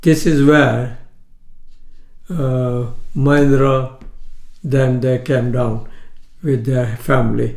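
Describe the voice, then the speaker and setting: Against audible room echo, a man speaks very slowly at a medium pitch. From Kenya (Indian-born, raised in Kenya). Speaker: retired shopkeeper. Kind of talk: life story interview. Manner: halting, with frequent hesitations.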